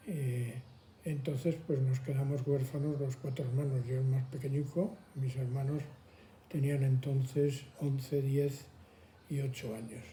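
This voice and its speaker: Fairly high-pitched and somewhat breathy, this man has a dark, mellow tone. He speaks at a fairly slow pace with fairly even intonation. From Madrid, Spain. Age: 80s+. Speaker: elderly interviewee. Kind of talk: testimony.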